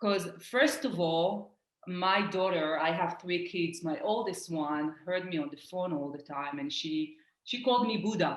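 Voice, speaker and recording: With an Israeli accent, a woman uses lively intonation at a fairly low pitch, and room echo is audible. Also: moderate pace. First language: Hebrew. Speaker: life coach. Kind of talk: casual chat.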